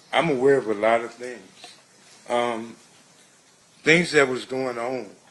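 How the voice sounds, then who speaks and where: Through audible room echo and noticeable background noise, a man speaks fairly slowly at a medium pitch, his intonation fairly even but his loudness swinging widely. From Compton, California, US. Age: 60s. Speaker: trial witness. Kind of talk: testimony. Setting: courtroom.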